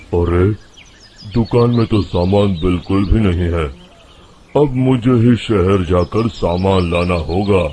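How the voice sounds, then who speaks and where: A put-on character voice from a man, gruff and rumbling, very deep and low in pitch, at a fairly slow pace with very even loudness. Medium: cartoon. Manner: gruff, grumbling.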